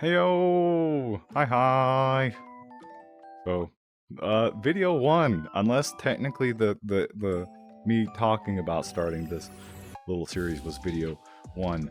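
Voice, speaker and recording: Over music in the background, a man with a fairly low pitch speaks at a very slow pace with long, frequent pauses and very wide pitch swings. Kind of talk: casual vlog talk to camera. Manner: stumbling, stuttering, repetitive; warm, reassuring.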